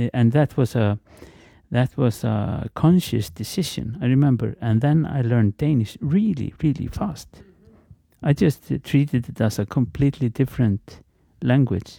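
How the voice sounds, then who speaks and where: A man's dark, mellow voice, fairly slow and lively in intonation, with a dry, close sound and no echo. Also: medium pitch for a man. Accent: Icelandic. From Iceland, Reykjavík. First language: Icelandic. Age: 50s. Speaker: guest speaker, language informant. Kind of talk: casual interview. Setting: office. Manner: halting, many repetitions.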